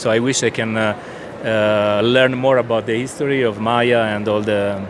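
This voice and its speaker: A man's flat, monotone delivery at a moderate pace in an Italian accent, over noticeable background noise. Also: medium pitch for a man. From southern Italy. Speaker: comic book artist. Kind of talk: interview. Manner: halting, searching for words.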